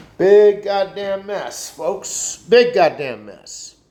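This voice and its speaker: A man's high-pitched voice over noticeable background noise. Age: 60s. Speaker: vlogger. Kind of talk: casual monologue rant. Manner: halting.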